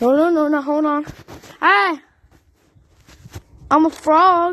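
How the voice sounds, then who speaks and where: In a put-on character voice, this woman talks fairly slowly with a high pitch. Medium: machinima. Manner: excitable.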